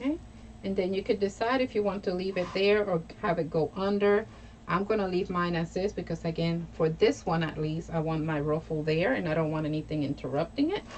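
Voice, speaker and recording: Over noticeable background noise, a woman with an American accent talks at a fairly quick pace, her fairly low pitch showing ordinary variation. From New York. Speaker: crafter and craft tutorial host. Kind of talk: live craft tutorial. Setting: live stream. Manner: casual and chatty.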